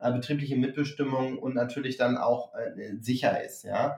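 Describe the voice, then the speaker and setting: Fairly even in intonation, a man with a fairly high pitch speaks in a normal speaking voice. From northern Germany, Hamburg. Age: 40s. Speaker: startup founder. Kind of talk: interview.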